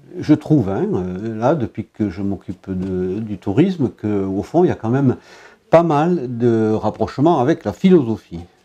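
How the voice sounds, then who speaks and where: The voice has a dark, mellow tone and very wide pitch swings. It moves at a fairly slow pace. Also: man, medium pitch for a man. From Brittany, France. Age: 70s. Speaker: local politician, former philosophy teacher. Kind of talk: interview. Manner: hesitant, many fillers.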